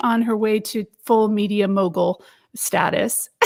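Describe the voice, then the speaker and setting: A woman's animated voice with an American accent at a fairly slow pace. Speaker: interviewer. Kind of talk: book launch interview. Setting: live stream.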